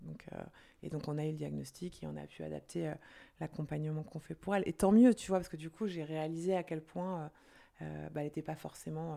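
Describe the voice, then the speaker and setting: A woman talks at a fairly quick pace with big swings in loudness. The recording is very clean, with a silent background. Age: 40s. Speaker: entrepreneur. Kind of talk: casual interview.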